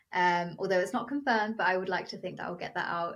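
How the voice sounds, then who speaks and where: In a British accent, a woman speaks with a fairly low pitch. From England, Milton Keynes. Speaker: singer. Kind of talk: interview.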